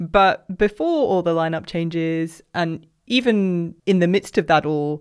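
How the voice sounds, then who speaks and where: A woman's ordinary speaking voice, fairly low in pitch, with ordinary pitch variation against a quiet background. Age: 20s. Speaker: podcast co-host. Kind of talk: casual chat.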